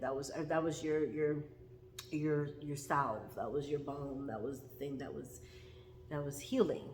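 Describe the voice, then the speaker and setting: A woman speaks in an animated tone at a moderate pace, her pitch very deep and low. Audible room echo fills the recording. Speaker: tarot reader. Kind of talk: tarot reading.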